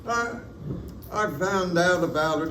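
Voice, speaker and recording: A man speaks at a very slow pace with ordinary pitch variation. There is noticeable background noise. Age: 80s+. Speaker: award recipient, orphanage school alumnus. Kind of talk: acceptance speech.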